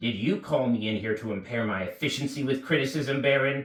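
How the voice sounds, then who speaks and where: A man growls in a put-on character voice at a medium pitch and a fairly quick pace. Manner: sullen, resentful.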